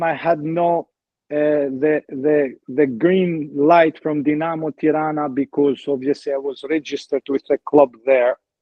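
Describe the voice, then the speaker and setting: A man with an Albanian accent speaks at a fairly slow pace, his fairly high voice held in fairly even intonation. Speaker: former footballer. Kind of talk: interview. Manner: halting.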